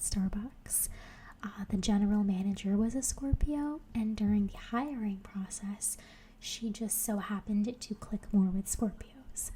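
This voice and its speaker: Soft-spoken and somewhat breathy, a woman talks at a fairly slow pace with a dark, mellow tone and fairly even intonation. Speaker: ASMR creator. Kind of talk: casual personal anecdote. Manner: soft-spoken, relaxing.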